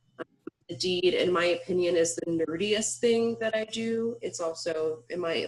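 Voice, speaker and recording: The woman speaks at a fairly low pitch with ordinary pitch variation. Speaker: closing attorney. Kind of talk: webinar presentation. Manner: fast; animated.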